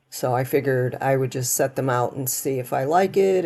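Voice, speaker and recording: Vocal fry runs through a dark, mellow, relaxed tone with ordinary pitch variation, set against a quiet background. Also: woman. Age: 70s. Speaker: YouTuber narrating her yard work. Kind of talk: casual vlog narration. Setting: outdoors in her yard, recorded on security cameras. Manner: relaxed, with many fillers.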